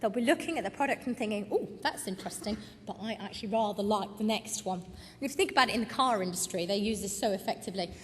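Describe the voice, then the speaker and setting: Against noticeable background noise, a woman with a British accent and a fairly high pitch talks very fast with ordinary pitch variation. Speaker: retail consultant. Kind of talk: conference presentation.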